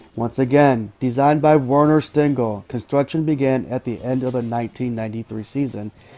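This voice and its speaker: With music in the background, a man speaks at a fairly slow pace. His intonation stays fairly even. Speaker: channel narrator. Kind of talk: documentary narration.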